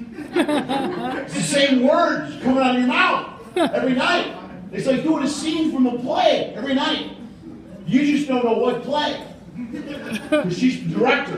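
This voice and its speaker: The speech unfolds at a fairly slow pace with ordinary pitch variation. Audible room echo and noticeable background noise are present. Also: man, extremely high pitch for a man. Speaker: stand-up comedian. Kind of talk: stand-up comedy set. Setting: stage with audience. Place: stage.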